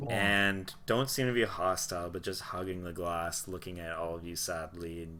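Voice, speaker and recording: The man's pitch is very deep and low, with a bright, sharp tone. He speaks fairly slowly with fairly even intonation. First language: not English. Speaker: tabletop game master. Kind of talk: live tabletop roleplay narration. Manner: descriptive storytelling narration.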